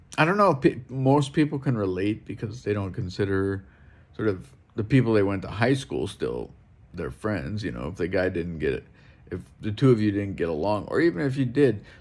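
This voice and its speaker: A man is speaking here. His pitch is fairly low and his pace fairly quick. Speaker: vlogger. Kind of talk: casual vlog chat. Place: home room. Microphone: phone near.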